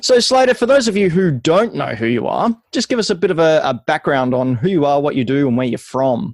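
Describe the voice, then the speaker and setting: In an Australian accent, the speaker talks at a fairly quick pace with hardly any pauses and very wide pitch swings, the sound dry and close with no echo. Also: man, fairly high pitch for a man. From Adelaide, South Australia. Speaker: podcast host. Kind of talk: podcast interview.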